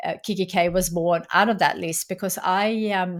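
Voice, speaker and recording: Her intonation fairly even, a woman talks with a Swedish accent. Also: very clean recording, silent background. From Sweden. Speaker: entrepreneur and author. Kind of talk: interview.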